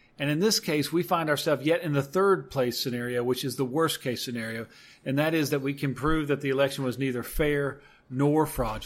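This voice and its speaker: Delivered in an unremarkable speaking voice with an American accent, the speech moves at a fairly quick pace with ordinary pitch variation. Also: man, fairly high pitch for a man. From Georgia, US South. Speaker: politician and attorney. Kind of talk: political interview. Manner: measured, articulate with fillers.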